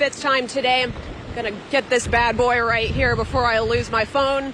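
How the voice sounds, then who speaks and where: Over noticeable background noise, a woman talks with a high pitch. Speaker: field reporter. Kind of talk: live field report. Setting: outdoors in hurricane. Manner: loud, yelling over wind.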